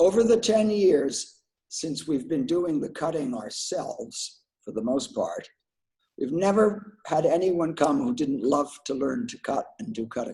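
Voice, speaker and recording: Speaking at a fairly slow pace, a man uses a high pitch with very wide pitch swings and a dark, mellow tone. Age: 70s. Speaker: glass artist. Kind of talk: casual chat.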